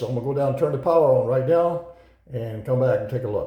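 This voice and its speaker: A man speaks, and room echo is audible. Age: 70s. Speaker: war veteran. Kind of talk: tutorial; casual talk to camera. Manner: casual, hesitant with fillers.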